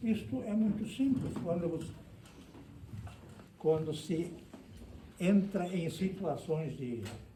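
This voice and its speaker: A man's high voice at a very slow pace, with lively intonation, long, frequent pauses, noticeable background noise and audible room echo. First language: German (speaking Portuguese). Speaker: lecturer on immigration history. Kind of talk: lecture. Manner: halting.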